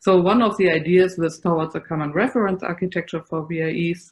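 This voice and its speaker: A woman with a German accent speaks at a fairly low pitch. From Germany. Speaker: computer science professor. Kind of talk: conference presentation.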